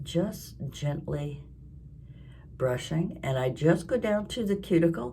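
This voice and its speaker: A woman's somewhat breathy, dark and mellow voice, very slow in pace. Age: 70s. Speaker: crafting and lifestyle vlogger. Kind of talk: casual talk to camera.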